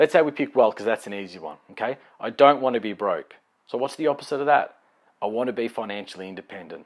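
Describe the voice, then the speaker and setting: In a very clean recording with a silent background, a man of medium pitch talks at a very fast pace in an animated tone, his intonation lively and his loudness swinging widely. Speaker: life coach. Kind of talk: motivational talk.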